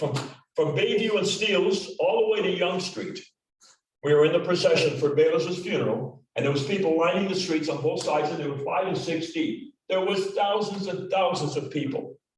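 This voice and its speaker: Lively in intonation and high in pitch, a man speaks at a moderate pace with audible room echo. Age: 70s. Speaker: retired police detective, club member. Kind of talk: club meeting remarks.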